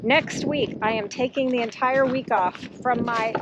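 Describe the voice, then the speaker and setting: A woman with an American accent and a fairly high pitch speaks with ordinary pitch variation against noticeable background noise. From Texas. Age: 60s. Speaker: homesteader. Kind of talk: video tour narration. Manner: casual.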